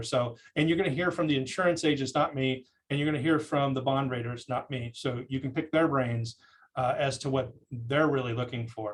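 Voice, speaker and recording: This is a man with a medium-pitched voice. His intonation is fairly even. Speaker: cybersecurity presenter. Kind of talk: lecture. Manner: halting, many fillers.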